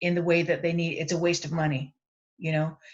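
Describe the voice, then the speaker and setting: A woman's fairly low, somewhat breathy voice at a fairly quick pace. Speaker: land-based educator and panelist. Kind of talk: panel discussion. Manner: fast.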